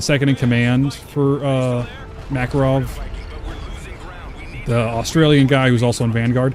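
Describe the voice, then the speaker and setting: A man speaks at a medium pitch with music playing in the background. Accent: American. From Texas. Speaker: streamer. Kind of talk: live gameplay stream chat. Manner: casual, filler-heavy.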